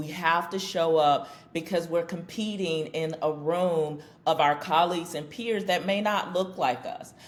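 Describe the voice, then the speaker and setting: A woman speaks at a moderate pace. Her pitch is fairly low, with ordinary pitch variation. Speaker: business strategy consultant. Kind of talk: podcast interview. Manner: loud.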